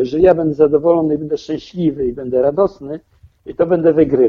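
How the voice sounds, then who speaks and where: At a moderate pace, a man with an ordinary speaking voice talks at a fairly high pitch with ordinary pitch variation. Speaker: amateur triathlete. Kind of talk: interview.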